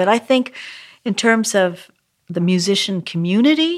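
A woman with a Canadian accent and a plain, everyday voice talks fairly slowly with lively intonation. The recording is very clean, with a silent background. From Canada, Vancouver. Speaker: jazz pianist and composer. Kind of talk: interview.

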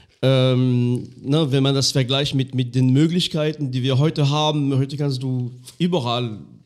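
Speaking at a moderate pace with a French accent, a man of medium pitch keeps his intonation fairly even. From France, Lorraine. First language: French (speaking German). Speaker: podcast host. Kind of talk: casual chat. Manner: halting.

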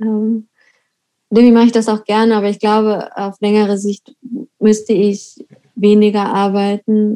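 A woman's medium-pitched, dark, mellow voice with monotone, flat intonation at a moderate pace. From eastern Germany, Weimar. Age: 30s. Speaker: artist. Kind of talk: interview.

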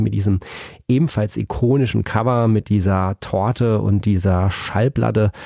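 A man speaks at a moderate pace with a fairly low pitch and ordinary pitch variation. His tone is dark and mellow on a very clean recording with a silent background. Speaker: music podcast host. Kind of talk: solo album review. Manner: hesitant with many fillers.

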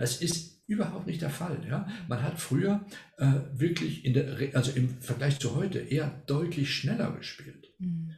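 This man speaks at a moderate pace in a fairly high voice, using ordinary pitch variation and some vocal fry. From Argentina. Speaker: retired music professor and baroque flutist. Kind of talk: casual interview.

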